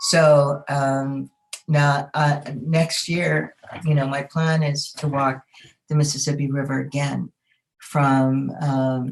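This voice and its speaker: A woman with an American accent speaks in a very deep, low pitch with monotone, flat intonation. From northern Minnesota, Ojibwe reservation. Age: 70s. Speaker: Native elder and water walk leader. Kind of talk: informal talk to a group. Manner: halting, many fillers.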